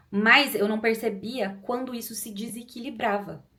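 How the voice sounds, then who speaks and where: Somewhat breathy and animated, a woman speaks at medium pitch. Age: 30s. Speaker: YouTuber. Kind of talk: personal testimony. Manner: fast.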